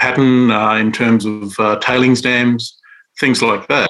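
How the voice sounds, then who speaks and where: Speaking with an Australian accent, a man has a medium pitch and a bright, sharp tone. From Western Australia, Central Desert. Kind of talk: interview. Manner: halting, many fillers.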